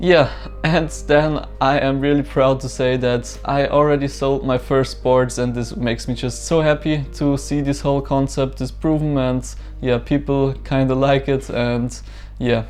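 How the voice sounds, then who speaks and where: A man with a German accent, speaking at a fairly slow pace. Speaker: small business owner, vlogger. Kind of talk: casual vlog walkthrough. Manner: hesitant, many fillers.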